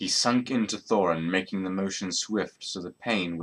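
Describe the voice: What you hear is plain reading aloud.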